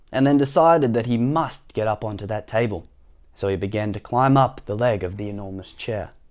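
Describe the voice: Ordinary pitch variation in a plain reading aloud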